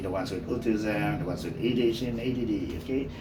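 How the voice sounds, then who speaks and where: The man's medium-pitched voice carries audible room echo. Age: 50s. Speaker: teacher. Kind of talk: personal monologue podcast. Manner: many fillers (okay, uh, you know).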